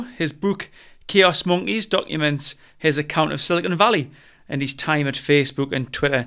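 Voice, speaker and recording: With a northern English accent, a man speaks at a moderate pace in a bright, sharp tone, recorded very cleanly against a silent background. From northern England. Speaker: podcast host. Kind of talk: interview.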